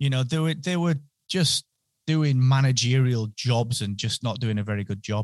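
With a northern English accent, a man speaks at medium pitch and a moderate pace with ordinary pitch variation, recorded dry and close with no echo and a quiet background. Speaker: podcasting entrepreneur. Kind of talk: interview. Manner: enthusiastic.

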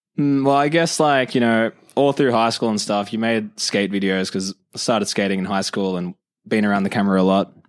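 This speaker has an Australian accent, a fairly quick pace and ordinary pitch variation. The recording is very clean, with a silent background. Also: man, fairly low pitch for a man. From Australia, Illawarra (south of Wollongong). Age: 20s. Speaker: skateboarder and recent university graduate. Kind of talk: casual chat.

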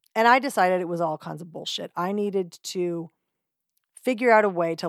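In a very clean recording with a silent background, a woman uses a normal speaking voice at a fairly low pitch and a fairly quick pace. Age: 50s. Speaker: podcast host. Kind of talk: casual monologue.

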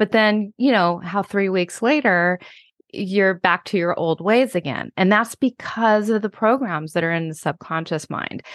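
In a plain, everyday voice, a woman with an American accent talks at a fairly slow pace, at medium pitch with ordinary variation, in a dry, close recording with no echo and a quiet background. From Washington State. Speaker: hypnotherapist and author. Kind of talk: interview.

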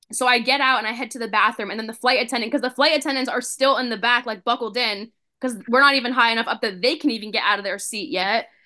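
A woman speaks with a high pitch. Her pace is very fast. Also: fairly even intonation, hardly any pauses. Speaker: children's book author. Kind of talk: casual chat.

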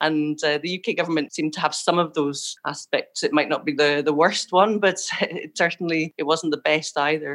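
With fairly even intonation, a woman speaks at a moderate pace in a fairly low pitch. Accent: Scottish. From Scotland. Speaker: visual artist. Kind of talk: interview.

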